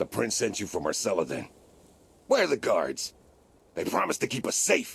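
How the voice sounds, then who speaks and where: A man speaks in a raspy, put-on character voice at a fairly quick pace. He leaves long, frequent pauses. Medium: video game. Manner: blunt, folksy.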